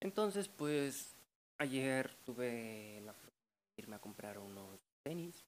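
A man with a Mexican accent speaks at medium pitch and a very slow pace, with very wide pitch swings and big swings in loudness. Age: 20s. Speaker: podcaster. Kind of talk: casual monologue.

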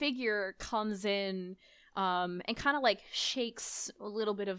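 Read in a natural reading voice, the words carry ordinary pitch variation.

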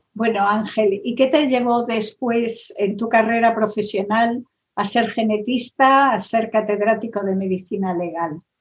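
The voice is somewhat breathy, moving at a fairly slow pace with hardly any pauses and fairly even intonation. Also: woman, fairly high pitch for a woman. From Galicia, Spain. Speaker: interviewer. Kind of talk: interview.

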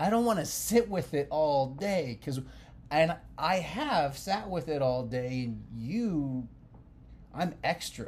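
Somewhat breathy, a man talks at a very slow pace with lively intonation. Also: fairly high pitch for a man. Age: 30s. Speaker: podcast co-host, married couple. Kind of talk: casual chat.

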